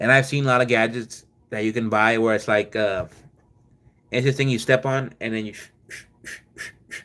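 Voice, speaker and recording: A man's bright, sharp voice, monotone and flat in intonation, with big swings in loudness. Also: medium pitch for a man, moderate pace. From Mexico and US, Mexican-American family. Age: 20s. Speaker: livestreamer, former mukbang creator. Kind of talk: casual livestream chat. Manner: halting, many repetitions and fillers.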